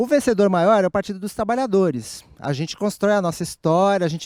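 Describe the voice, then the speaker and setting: A man with a high voice speaks with lively intonation, recorded very cleanly against a silent background with a dry, close sound and no echo. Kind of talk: panel discussion talk. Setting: conversation circle at event. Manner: soft-spoken.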